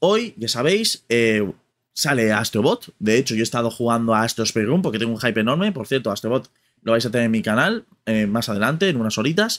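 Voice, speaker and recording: Ordinary pitch variation shapes a man's fairly quick speech. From Spain. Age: 30s. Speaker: gaming youtuber. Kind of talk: casual vlog commentary. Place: home room.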